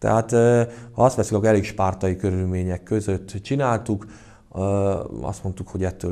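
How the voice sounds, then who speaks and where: This man talks at a moderate pace with a very deep, low pitch. His tone is dark and mellow. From Hungary. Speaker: karate club president and coach. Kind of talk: casual interview. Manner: halting, hesitant with repetitions. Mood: calm, reflective. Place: gym.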